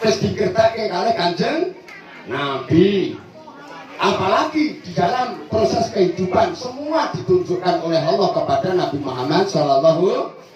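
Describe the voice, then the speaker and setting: Over background music and audible room echo, a man speaks at a moderate pace in an animated tone, his pitch swinging very widely. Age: 60s. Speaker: Islamic preacher. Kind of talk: religious sermon at school event. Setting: school gathering with audience. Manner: animated, engaging audience.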